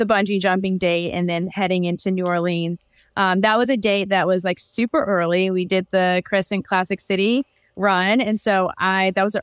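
A woman at a moderate pace, very even in loudness, the sound dry with no echo and the background quiet. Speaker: podcast guest. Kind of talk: interview answer. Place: home room.

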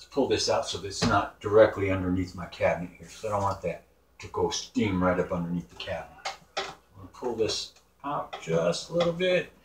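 A man talks at a fairly quick pace, his loudness swinging widely. Noticeable background noise runs underneath. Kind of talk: casual cooking vlog. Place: kitchen. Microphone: camera far.

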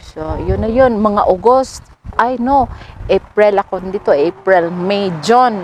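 A woman at a medium pitch, very slow in pace, over noticeable background noise. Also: ordinary pitch variation. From Philippines, Butuan City (Mindanao). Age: 30s. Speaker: vlogger. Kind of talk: casual chat. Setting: outdoors. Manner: halting.

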